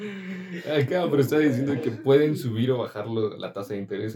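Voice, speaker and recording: A man speaks at a moderate pace with a dark, mellow, somewhat breathy tone. His pitch swings very widely. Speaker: podcast co-host and student. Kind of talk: casual chat.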